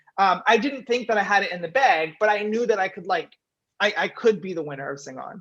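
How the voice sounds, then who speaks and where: Lively intonation and big swings in loudness mark this woman's normal speaking voice. She talks at a fairly quick pace and a medium pitch. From western Canada, Vancouver. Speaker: singing game show winner. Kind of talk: interview.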